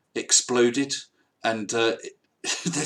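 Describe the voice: With fairly even intonation and a fairly bright tone, this man talks at a fairly slow pace at medium pitch.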